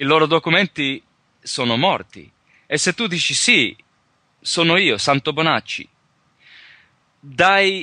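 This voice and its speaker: With a non-native accent, a man speaks in a fairly high pitch and a bright, sharp tone, the sound dry and close with no echo. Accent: non-native Italian, imperfect. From Australia, rural Victoria, Calabrian parents. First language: English (speaking Italian). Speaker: sovereignty researcher and teacher. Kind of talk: interview. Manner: halting, many hesitations.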